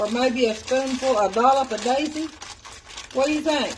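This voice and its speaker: A high-pitched woman talks at a moderate pace with fairly even intonation while noticeable background noise continues. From Tennessee. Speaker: home cooking livestreamer. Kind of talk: live cooking stream. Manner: chatty, casual.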